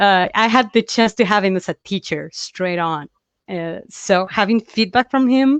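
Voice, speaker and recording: Speaking with a Spanish accent, a woman keeps a fairly slow pace. Her pitch is medium, with lively intonation. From Chile. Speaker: comic book artist. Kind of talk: interview.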